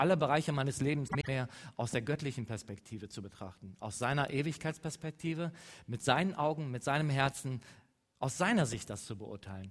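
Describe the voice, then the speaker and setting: A man's fairly high voice, a plain, everyday voice, with lively intonation at a fairly quick pace. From western Germany, Leverkusen. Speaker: mission organization speaker. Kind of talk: church talk.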